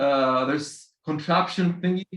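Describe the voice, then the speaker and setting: The man's fairly high pitch carries lively intonation. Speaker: interview host. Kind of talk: interview conversation. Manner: halting, hesitant.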